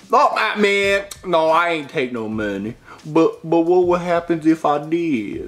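A put-on character voice comes out drawling at a fairly slow pace and a middle pitch. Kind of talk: comic overacting. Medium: puppet show. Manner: slangy, simple, drawling.

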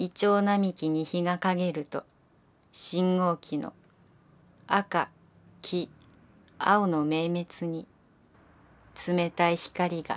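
Very slowly and in a monotone, flat way, a woman speaks with long, frequent pauses. Her pitch is fairly low, and the recording is very clean with a silent background. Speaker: actress. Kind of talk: poetry reading.

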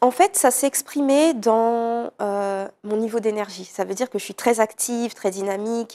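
Speaking at a fairly slow pace with hardly any pauses, a woman has a fairly high pitch, a dark, mellow tone and ordinary pitch variation. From Paris region, France (Villeneuve-le-Roi), of French Guianese parents; Paris region, France. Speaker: art therapist and personal development coach; personal development coach. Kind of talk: interview. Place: studio. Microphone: lapel.

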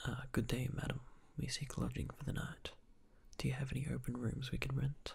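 Soft-spoken delivery at a fairly quick pace. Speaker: game narrator reading dialogue. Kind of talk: soft ASMR reading of game text. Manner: soft-spoken reading of the professor's lines.

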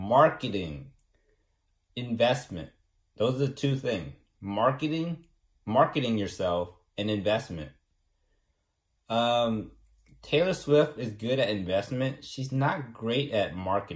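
Over a quiet background, a man speaks very slowly with long, frequent pauses. His voice is somewhat breathy and his intonation lively. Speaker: vlogger. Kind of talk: casual vlog chat. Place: home room. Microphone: phone near.

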